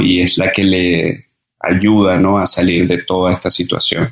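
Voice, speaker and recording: A man's very deep, low voice unfolds at a fairly slow pace. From Venezuela (Caracas, Margarita, Mérida). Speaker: breathing and cold-exposure workshop instructor. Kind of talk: interview conversation. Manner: halting, frequent repetitions and fillers.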